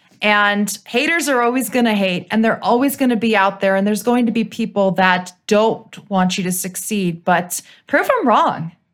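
A woman's normal speaking voice in an American accent, with medium pitch, ordinary pitch variation, moderate pace, hardly any pauses and very even loudness. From US Midwest, Cleveland, Ohio. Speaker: broadcast meteorologist. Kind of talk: interview.

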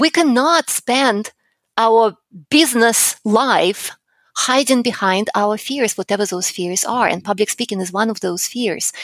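Recorded very cleanly against a silent background with a dry, close sound and no echo, a woman with a plain, everyday voice speaks fairly slowly at a fairly high pitch with lively intonation. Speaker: public speaking coach and entrepreneur. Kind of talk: interview.

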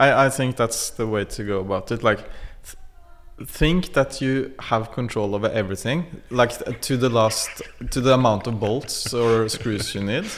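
With a Norwegian accent, a man talks at a moderate pace with ordinary pitch variation. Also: medium pitch for a man. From Norway. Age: 40s. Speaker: technical producer. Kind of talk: interview. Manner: calm; halting, many fillers.

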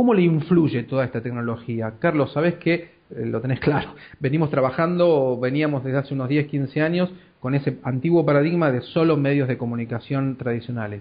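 A man's voice, fairly high and somewhat breathy, moves along at a fairly quick clip. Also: ordinary pitch variation. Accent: Argentine. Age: 40s. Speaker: podcast host, communications professional. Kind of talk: interview. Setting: Skype call.

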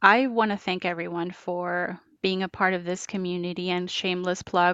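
A woman with a Spanish accent speaks in monotone, flat intonation. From Colombia, Bogotá. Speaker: diversity and inclusion manager. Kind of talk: interview.

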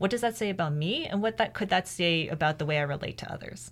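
This woman has an unremarkable speaking voice and a Canadian accent, talking at a fairly quick pace in a fairly low pitch with ordinary pitch variation. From Canada. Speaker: PhD student in education, former teacher. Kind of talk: interview.

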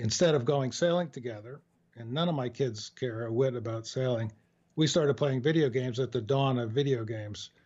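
Somewhat breathy, the voice speaks at a fairly quick pace with an American accent and ordinary pitch variation. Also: man, medium pitch for a man. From US Northeast, New York area. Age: 70s. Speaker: author and former journalist. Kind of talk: interview. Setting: home studio, phone call. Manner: halting, many fillers.

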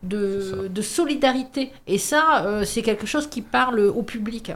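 Her pitch sits fairly high. This woman talks very slowly. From northern France, mining basin. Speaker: youth and culture centre staff. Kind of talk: radio interview.

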